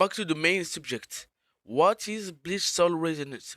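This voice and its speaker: This man, with a non-native accent and ordinary pitch variation, is heard in a very clean recording with a silent background and a dry, close sound with no echo. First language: French. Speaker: gaming YouTuber. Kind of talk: scripted narration.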